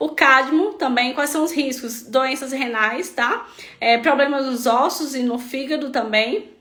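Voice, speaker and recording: A woman's raised, projected voice, high in pitch with a bright, sharp tone and ordinary pitch variation, very slow in pace, with audible room echo. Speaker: health practitioner treating melasma patients. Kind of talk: live stream talk. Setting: online live stream.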